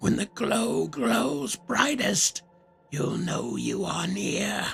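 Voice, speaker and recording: Faint music plays behind a put-on character voice. The voice is raspy and croaky. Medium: read story.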